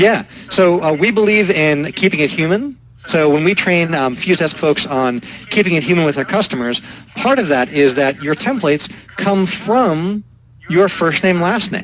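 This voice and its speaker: Through noticeable background noise, a man with a high pitch speaks with lively intonation. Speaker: software company founder. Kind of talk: interview. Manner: fast.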